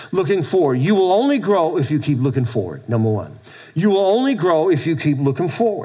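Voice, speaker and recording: Amid noticeable background noise, a man with a fairly high pitch talks at a fairly quick pace in an animated tone, using very wide pitch swings while keeping his loudness very even. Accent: American. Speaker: pastor. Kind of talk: sermon. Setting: church with congregation. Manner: animated, preacherly call-and-response; conversational, loosely paced with repeats.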